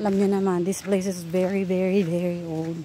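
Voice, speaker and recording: Fairly even intonation comes at a fairly slow pace in a dry recording with no echo and light background noise. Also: woman. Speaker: travel vlogger. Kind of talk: casual vlog chat. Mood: slightly nervous, joking. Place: street. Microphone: phone near.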